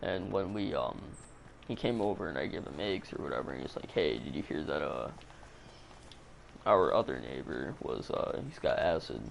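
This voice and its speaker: A man speaks quietly at a moderate pace with long, frequent pauses, over noticeable background noise and audible room echo. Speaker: gaming livestreamer telling stories. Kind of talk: casual storytelling on a livestream. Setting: home livestream broadcast. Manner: kept low, quiet.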